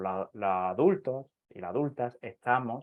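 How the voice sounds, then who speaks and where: With an Andalusian accent, a man speaks at a medium pitch with ordinary pitch variation. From southern Andalusia, Spain. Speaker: astrologer. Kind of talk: interview. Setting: live video stream.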